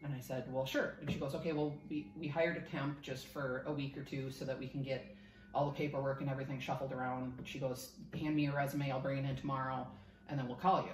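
Over noticeable background noise, a woman with an American accent talks at a very fast pace, with a very deep, low pitch and monotone, flat intonation. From Minnesota, US. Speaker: insurance underwriting specialist. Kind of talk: casual interview chat. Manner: laughs often, self-deprecating.

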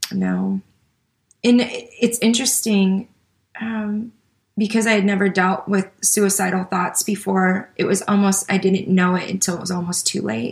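With an American accent, a woman speaks at a fairly slow pace, her medium-pitched voice somewhat breathy and her intonation fairly even. She leaves long, frequent pauses. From US Midwest, Joliet, Illinois. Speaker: pastor and author. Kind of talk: interview.

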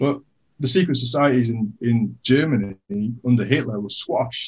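A man speaks at a fairly quick pace with a medium pitch. His voice is somewhat breathy. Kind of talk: casual chat.

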